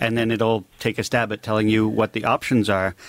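With a Canadian accent, a man talks at a fairly quick pace and medium pitch in a dry, close sound with no echo. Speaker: landscaper. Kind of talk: radio call-in advice. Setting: studio.

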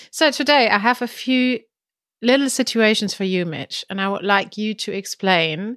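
A woman with a German accent speaks at a fairly slow pace. The recording is very clean with a silent background and a dry, close sound with no echo. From Germany. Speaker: podcast co-host, language teacher. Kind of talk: casual chat.

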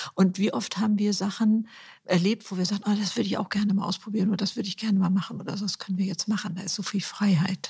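The woman's voice carries vocal fry. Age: 70s. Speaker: author and influencer. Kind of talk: interview.

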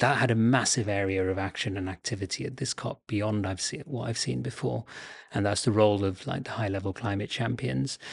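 Using lively intonation and some vocal fry, a man talks at a fairly quick pace. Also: fairly low pitch for a man. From Bangladesh. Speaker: climate consultant. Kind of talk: interview.

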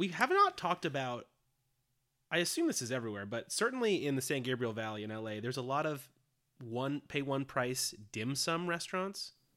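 A man's fairly high, bright, sharp voice with lively intonation at a fairly quick pace, on a very clean recording with a silent background. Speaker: comedy podcast co-host. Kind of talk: casual chat. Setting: home, in bed. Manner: laid-back, lounging.

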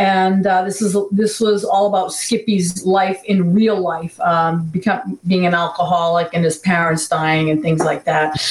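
Over noticeable background noise, a woman with an American accent speaks at a medium pitch and a fairly slow pace, with very even loudness, fairly even intonation and hardly any pauses. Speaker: actress and paranormal personality. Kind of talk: casual chat.

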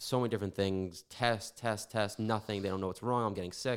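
An unremarkable speaking voice from a man, fairly low in pitch, with fairly even intonation, on a very clean recording with a silent background. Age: 20s. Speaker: drummer. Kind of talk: casual chat.

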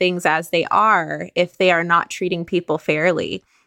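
A woman at a fairly low pitch and moderate pace, bright, sharp tone, dry, close sound with no echo, in a very clean recording with a silent background. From international upbringing (Dubai, Estonia, Sweden, Mexico, Azerbaijan, Ghana). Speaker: author and historian. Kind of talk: panel discussion.

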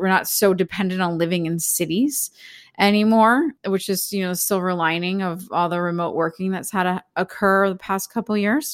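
A woman with an ordinary speaking voice and an American accent, at medium pitch with ordinary pitch variation and a moderate pace, in a dry, close sound with no echo and a very clean recording over a silent background. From Philadelphia, US. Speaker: spiritual teacher. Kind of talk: casual interview chat.

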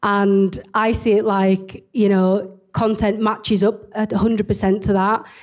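A woman with a strong Leeds accent speaks at a medium pitch and a fairly slow pace, her intonation monotone and flat and her loudness very even, on a very clean recording with a silent background. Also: hardly any pauses. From northern England, Leeds. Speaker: entrepreneur. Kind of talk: interview in front of an audience. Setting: live event with audience.

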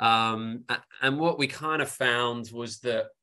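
In an English accent, a man talks at medium pitch with a bright, sharp tone and fairly even intonation. The background is quiet. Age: 40s. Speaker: sports science professor. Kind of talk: interview.

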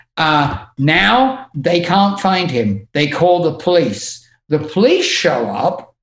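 At a very slow pace, a man delivers his words. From England. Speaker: music tour manager. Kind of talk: casual chat.

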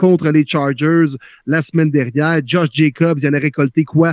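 A man speaks at a very slow pace, the sound dry and close with no echo. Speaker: podcast host, football talk. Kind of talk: casual chat about football.

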